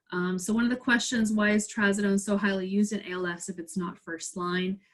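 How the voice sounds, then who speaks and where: An unremarkable speaking voice at a fairly quick pace with fairly even intonation. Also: woman, medium pitch for a woman. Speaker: pharmacist lecturer. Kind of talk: webinar Q&A.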